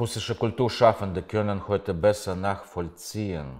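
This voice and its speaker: Against a quiet background, a man talks at a fairly slow pace. His pitch variation is ordinary. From Russia. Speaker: writer. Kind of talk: reading aloud. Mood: calm, serious, reflective. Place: home room. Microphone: lapel.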